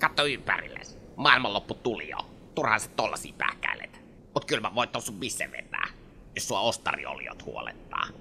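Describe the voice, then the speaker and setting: A put-on character voice at a low-to-middle pitch comes through with clear background noise. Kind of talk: colloquial slangy Finnish. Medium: audio drama. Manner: dry, deadpan.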